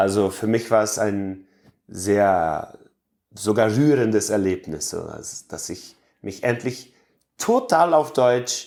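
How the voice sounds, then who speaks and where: On a very clean recording with a silent background, a man speaks very slowly. His fairly low voice has lively intonation. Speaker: Mennonite colony resident. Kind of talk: interview. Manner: halting, with fillers.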